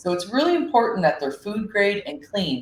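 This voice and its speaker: This woman's voice is somewhat breathy, with lively intonation. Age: 40s. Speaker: business owner presenting on seaweed health. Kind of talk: online summit presentation. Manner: casual, conversational.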